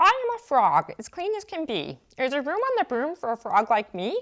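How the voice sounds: Doing a put-on character voice, a woman speaks high and croaky. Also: moderate pace.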